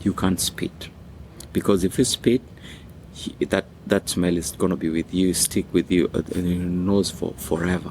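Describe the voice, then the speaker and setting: With a Kenyan accent, a man speaks in a very deep, low voice using fairly even intonation. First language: Swahili. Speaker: music school founder. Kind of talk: personal story, interview.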